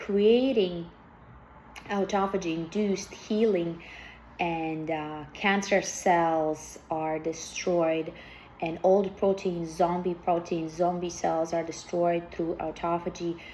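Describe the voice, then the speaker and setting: A woman speaks at a very slow pace. Her pitch is fairly low, and her intonation stays fairly even. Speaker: biohacking enthusiast. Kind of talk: casual talk to camera.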